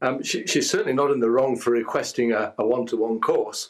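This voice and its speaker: An English accent with fairly even intonation. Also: man. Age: 60s. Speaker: lawyer. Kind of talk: news interview. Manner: halting, with many false starts.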